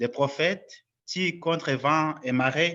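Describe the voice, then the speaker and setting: A bright, sharp tone with a non-native accent and ordinary pitch variation, over a quiet background. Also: man. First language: not French (speaking French). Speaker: lecturer at a parish conference. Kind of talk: lecture.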